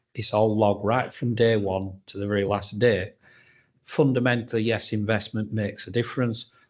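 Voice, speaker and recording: A man speaks in a normal speaking voice at a fairly low pitch, his intonation fairly even. He keeps a moderate pace against a quiet background. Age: 60s. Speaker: firefighter. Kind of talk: panel Q&A.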